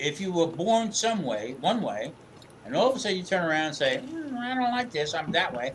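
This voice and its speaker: Over noticeable background noise, a man talks at a moderate pace, his pitch swinging very widely. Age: 60s. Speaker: live stream participant. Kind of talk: casual chat. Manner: animated.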